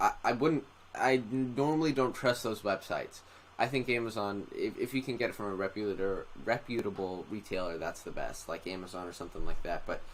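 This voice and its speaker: An ordinary speaking voice with ordinary pitch variation, at a fairly quick pace. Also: man, medium pitch for a man. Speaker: drone tech youtuber. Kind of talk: live stream commentary. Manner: casual, many fillers.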